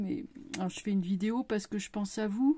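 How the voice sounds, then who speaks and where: A woman speaks at a medium pitch with lively intonation, her tone dark, mellow and somewhat breathy. The recording is very clean, with a silent background. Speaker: tarot reader and YouTuber. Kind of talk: casual vlog monologue. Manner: hesitant, many fillers.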